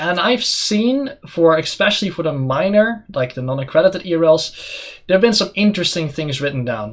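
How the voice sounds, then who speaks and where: A man with a non-native accent, high-pitched, at a fairly quick pace, with very wide pitch swings over noticeable background noise. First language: not English. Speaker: esports caster and talk show host. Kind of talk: casual chat.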